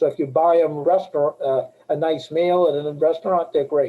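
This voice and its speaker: A man speaks with an American accent at a high pitch. His pace is moderate and his intonation fairly even. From Boston area, Massachusetts. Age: 60s. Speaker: life insurance agent. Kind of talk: webinar talk. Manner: casual, conversational.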